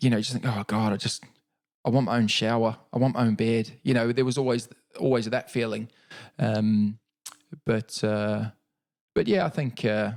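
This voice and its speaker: With a New Zealand accent, a man speaks at a moderate pace and medium pitch, his intonation fairly even and his pauses long and frequent. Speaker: Paralympic cyclist. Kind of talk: podcast interview.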